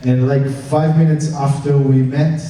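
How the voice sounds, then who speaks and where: In an Israeli accent, a man talks at a fairly slow pace, with audible room echo and noticeable background noise. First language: Hebrew. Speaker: film director. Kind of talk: Q&A after film screening. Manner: halting, many fillers.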